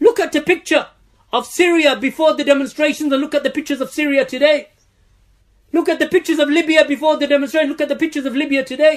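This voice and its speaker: Delivered very rapidly, the words carry a fairly level intonation. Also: man, extremely high pitch for a man. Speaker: Islamic teacher answering questions. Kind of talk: religious Q&A lecture. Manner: forceful, emphatic preacher in full flow, rhetorical questions and repetition.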